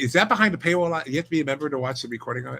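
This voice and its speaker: The man's voice has a bright, sharp tone and ordinary pitch variation. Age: 70s. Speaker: insurance instructor. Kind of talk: casual chat.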